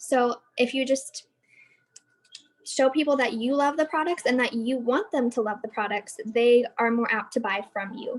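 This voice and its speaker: Speaking at a moderate pace with an American accent, the voice keeps a fairly even intonation. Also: woman. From Arizona. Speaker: direct sales consultant. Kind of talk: training presentation. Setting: video call.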